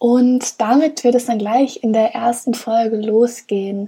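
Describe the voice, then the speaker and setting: A woman speaks at a very slow pace with a high pitch, a dark, mellow tone and fairly even intonation. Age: 20s. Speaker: podcast host. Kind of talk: solo podcast monologue.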